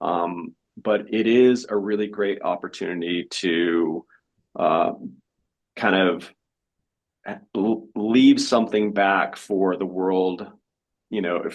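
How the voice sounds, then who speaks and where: Fairly even intonation marks a man's plain, everyday voice, delivered with an American accent. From Colorado, US. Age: 50s. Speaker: missionary and author. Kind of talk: interview.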